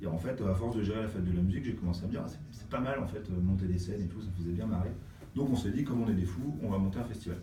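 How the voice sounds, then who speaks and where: Amid noticeable background noise and audible room echo, a man talks at a very fast pace in a fairly low pitch with ordinary pitch variation. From Brittany, France (Brest). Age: 40s. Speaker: music industry programmer and artist manager. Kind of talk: interview. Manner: hesitant, many fillers.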